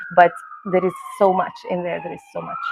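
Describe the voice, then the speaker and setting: A woman with a Spanish accent, amid noticeable background noise. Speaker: performer. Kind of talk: panel discussion. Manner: halting.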